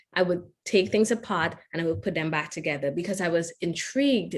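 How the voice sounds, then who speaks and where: A woman's medium-pitched voice in a Trinidadian accent. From Trinidad and Tobago. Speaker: engineer and keynote speaker. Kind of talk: keynote talk.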